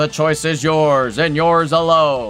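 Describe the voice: Over clear music in the background, a man uses a put-on character voice at a fairly high pitch, speaking at a fairly slow pace.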